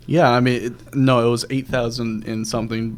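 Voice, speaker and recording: A man talks in a normal speaking voice at a medium pitch. His pace is moderate. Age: young. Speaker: podcast host. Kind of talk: casual chat.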